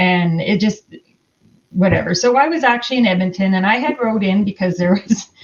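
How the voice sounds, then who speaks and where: A woman with an Albertan accent, somewhat breathy at medium pitch, fairly quick in pace, with very even loudness and ordinary pitch variation. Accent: Canadian (Alberta). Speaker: horse rancher. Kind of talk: casual chat.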